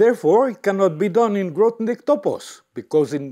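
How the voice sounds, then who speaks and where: Over a quiet background, a man with a French accent speaks with very wide pitch swings. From France. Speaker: mathematician giving a talk. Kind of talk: lecture. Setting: lecture hall with audience. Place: hall.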